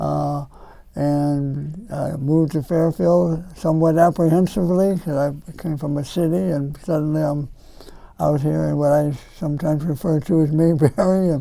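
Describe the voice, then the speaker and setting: A man with an American accent, a fairly high pitch, ordinary pitch variation and a moderate pace. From northern Ohio (near Cleveland). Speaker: retired girls basketball coach. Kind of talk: community talk, reminiscing.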